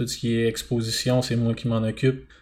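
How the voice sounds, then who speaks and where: A man speaks with monotone, flat intonation. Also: very clean recording, silent background. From Quebec, Bas-Saint-Laurent (Témiscouata). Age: 20s. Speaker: dairy farmer. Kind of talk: casual interview.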